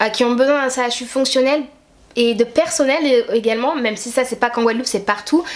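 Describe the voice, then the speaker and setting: A woman talks at a fairly quick pace. Her pitch is high, with ordinary pitch variation. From Guadeloupe. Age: 20s. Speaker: YouTuber. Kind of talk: opinion rant to camera.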